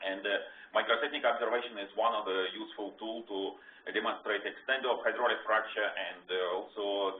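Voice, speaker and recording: Speech at a fairly quick pace comes through with audible room echo. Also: man. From Russia. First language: Russian. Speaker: research scientist. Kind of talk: lecture. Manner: halting, many fillers.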